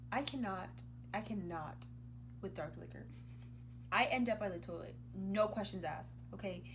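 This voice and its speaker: Speaking at a moderate pace, a woman has an animated tone and big swings in loudness. She leaves long, frequent pauses, and room echo is audible. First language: Spanish. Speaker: YouTuber. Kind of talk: casual chat.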